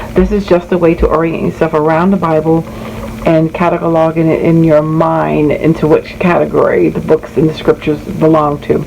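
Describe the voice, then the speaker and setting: Noticeable background noise sits behind a woman speaking at a moderate pace. Her loudness stays very even. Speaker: bible study content creator. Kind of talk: tutorial. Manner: casual, with fillers.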